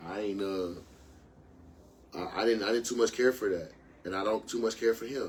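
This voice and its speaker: Long, frequent pauses break up a man's fairly quick pace. His fairly low pitch carries fairly even intonation. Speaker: podcast host guest. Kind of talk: casual chat. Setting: live stream. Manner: loud.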